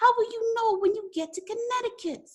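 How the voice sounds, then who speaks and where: Putting on a squeaky character voice, a woman speaks at an extremely high pitch and a fairly quick pace. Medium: read story.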